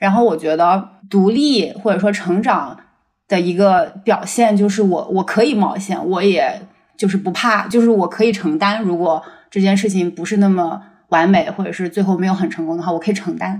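This woman has a plain, everyday voice at medium pitch, speaking at a moderate pace with ordinary pitch variation. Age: 30s. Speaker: research scientist. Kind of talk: casual chat.

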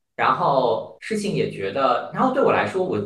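A man at a moderate pace, with audible room echo. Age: 30s. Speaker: podcast guest. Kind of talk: casual chat.

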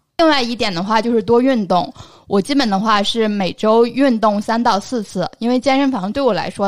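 On a very clean recording with a silent background, a woman with an unremarkable speaking voice talks at a moderate pace, fairly high in pitch with ordinary pitch variation. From northern China. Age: 20s. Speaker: podcast co-host. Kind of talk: casual chat.

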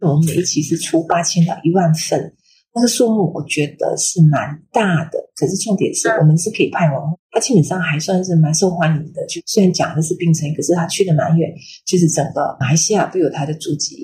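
A woman's fairly low, somewhat breathy voice with a dark, mellow tone, lively intonation and a fairly quick pace. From Malaysia, Kedah. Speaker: magazine editor and bookstore owner. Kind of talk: casual interview. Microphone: poor audio quality.

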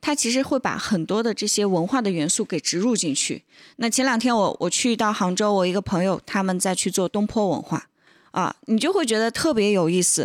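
A woman with an unremarkable speaking voice talks at a medium pitch and moderate pace with lively intonation and very even loudness, on a very clean recording with a silent background and a dry, close sound with no echo. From northern China. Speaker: teahouse co-owner. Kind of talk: casual chat. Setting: teahouse.

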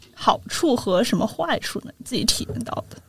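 With ordinary pitch variation, a normal speaking voice keeps to a moderate pace. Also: woman. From Sichuan, China. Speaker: podcast host. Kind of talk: casual chat.

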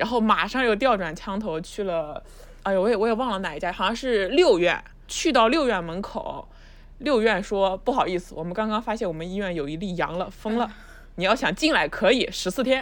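A plain, everyday voice, fairly quick in pace and lively in intonation. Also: woman, medium pitch for a woman. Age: 30s. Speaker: new media video director. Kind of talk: casual chat.

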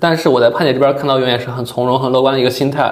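A man with a fairly high pitch is heard with audible room echo. Noticeable background noise runs underneath. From Yuncheng, Shanxi, China. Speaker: podcast host. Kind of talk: casual interview chat.

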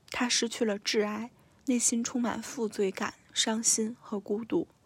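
A somewhat breathy voice speaks at a moderate pace with fairly even intonation. The recording is very clean, with a silent background. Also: woman. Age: 20s. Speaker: podcast host. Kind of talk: solo book review monologue.

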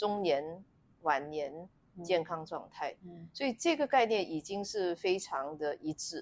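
A woman with an unremarkable speaking voice talks at a fairly low pitch and a fairly slow pace. Her intonation is lively, and her loudness swings widely. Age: 50s. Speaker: gynecologist. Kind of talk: interview conversation.

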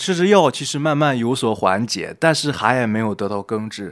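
On a very clean recording with a silent background, a man speaks at medium pitch and moderate pace with lively intonation. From northern China, Shanxi. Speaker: freelance writer and former journalist. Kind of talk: casual chat. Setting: cafe.

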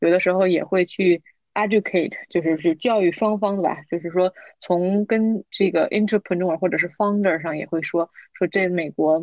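A woman at a fairly low pitch and moderate pace, in an ordinary speaking voice, the sound dry and close with no echo. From Tianjin, China. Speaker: business consultant. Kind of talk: panel discussion.

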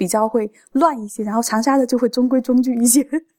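Recorded dry and close with no echo, a woman talks very fast in a high voice with a dark, mellow tone. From Changde, Hunan, China. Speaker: food enthusiast. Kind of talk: casual chat.

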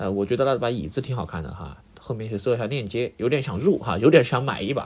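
A man talks at a very fast pace with lively intonation. His medium-pitched voice is somewhat breathy. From Sichuan. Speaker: podcast host. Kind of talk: casual solo monologue. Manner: hesitant, many filler sounds.

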